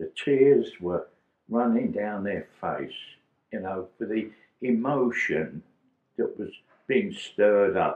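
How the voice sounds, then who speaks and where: There is audible room echo as a man speaks at a very slow pace, with long, frequent pauses. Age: 80s+. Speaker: war veteran. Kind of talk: interview answer. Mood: moved, reminiscing. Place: home room.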